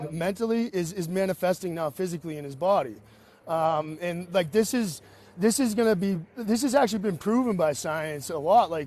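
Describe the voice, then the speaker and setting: A man speaks at a moderate pace in a high voice with lively intonation. His tone is animated. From New England (Boston). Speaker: caller on live political stream. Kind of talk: casual chat.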